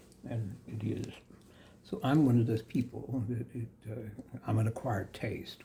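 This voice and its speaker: An American man speaks at a medium pitch and a moderate pace, his intonation fairly even. His tone is dark and mellow, and somewhat breathy. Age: 70s. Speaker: yoga teacher. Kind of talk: spiritual discourse monologue. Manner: halting, many fillers.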